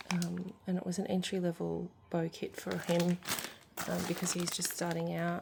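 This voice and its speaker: The voice is quiet and very even in loudness, moving at a moderate pace over noticeable background noise. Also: woman. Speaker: product reviewer. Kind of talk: casual unboxing monologue. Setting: at home. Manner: quiet, hushed.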